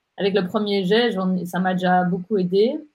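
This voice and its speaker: This speaker goes at a fairly slow pace. The delivery is somewhat breathy, and the intonation stays fairly even. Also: woman. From Geneva, Switzerland. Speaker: digital strategy agency director and blogger. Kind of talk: interview.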